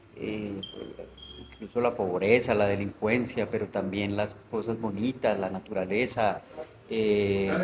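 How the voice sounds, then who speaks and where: Fairly slow, monotone, flat speech from a man with a fairly low pitch, over noticeable background noise. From Colombia, Bogotá. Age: 40s. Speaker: novelist. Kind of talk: interview conversation. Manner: hesitant, many fillers.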